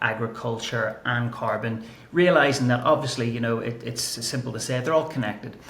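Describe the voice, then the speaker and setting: A man with an Irish accent speaks at a medium pitch, with audible room echo and noticeable background noise. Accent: Irish accent, kept. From Ireland. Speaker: climate and nature strategy analyst. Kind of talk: podcast interview.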